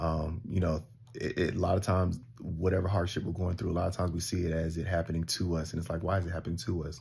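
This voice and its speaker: Somewhat breathy, a man with a very deep, low voice talks at a very fast pace with fairly even intonation. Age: 30s. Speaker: vlogger. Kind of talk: personal vlog monologue. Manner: hesitant, many fillers.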